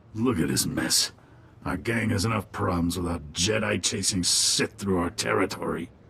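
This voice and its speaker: A man performs a put-on character voice, raspy and very deep and low in pitch. He keeps a moderate pace over clear background noise. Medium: video game. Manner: smug, dry.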